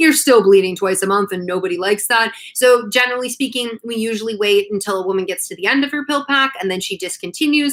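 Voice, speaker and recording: A woman at a fairly high pitch with ordinary variation, very fast pace and hardly any pauses. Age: 30s. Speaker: naturopathic doctor and author. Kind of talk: live stream Q&A. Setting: live stream from a conference trip. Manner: casual, chatty.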